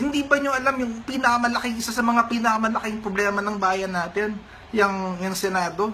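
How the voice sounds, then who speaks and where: Over noticeable background noise, a man speaks in a raised, projected voice at a high pitch and a fairly quick pace, with fairly even intonation. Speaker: political commentator. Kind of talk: angry rant, heated political commentary. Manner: indignant, emphatic, scolding.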